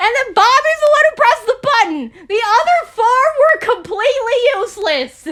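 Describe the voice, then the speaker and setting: A woman talks loudly at a moderate pace with an extremely high pitch. Her pitch swings very widely. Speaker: video commentator. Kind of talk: video commentary.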